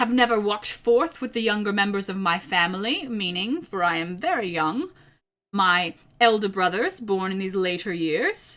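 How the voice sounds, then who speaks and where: Recorded very cleanly against a silent background, this put-on character voice moves at a moderate pace. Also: woman, medium pitch for a woman. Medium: read story. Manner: hearty, genial.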